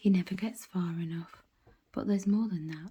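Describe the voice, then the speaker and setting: Whispering at a moderate pace, a woman sounds somewhat breathy. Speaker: audiobook reader. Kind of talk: bedtime story reading. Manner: whispered.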